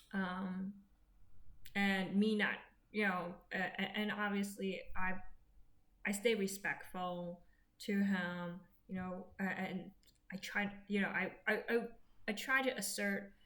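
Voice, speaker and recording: Amid audible room echo, a woman speaks very slowly at a medium pitch with monotone, flat intonation and long, frequent pauses. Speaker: vlogger sharing personal health update. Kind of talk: personal vlog monologue. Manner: slow, halting with many fillers.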